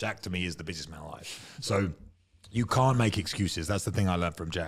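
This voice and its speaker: On a very clean recording with a silent background, a man with an English accent talks in a fairly low voice with ordinary pitch variation. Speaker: former UFC fighter. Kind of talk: casual chat. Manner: loud.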